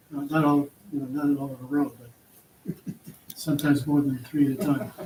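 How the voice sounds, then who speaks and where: Delivered at a fairly quick pace in a monotone, flat intonation, the speech shows big swings in loudness against noticeable background noise. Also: man, fairly high pitch for a man. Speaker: county board candidate. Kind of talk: candidate forum answer. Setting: public forum with audience.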